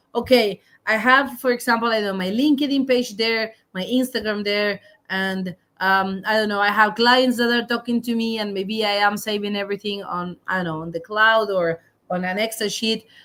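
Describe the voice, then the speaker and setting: A woman with a fairly high pitch talks at a middling tempo. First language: not English. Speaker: podcast co-host. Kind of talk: casual chat.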